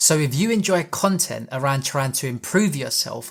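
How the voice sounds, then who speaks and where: A man's somewhat breathy, fairly high voice with a British accent and ordinary pitch variation. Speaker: personal development youtuber. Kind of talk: talking-head advice video. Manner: fast; slightly mumbled when rushing.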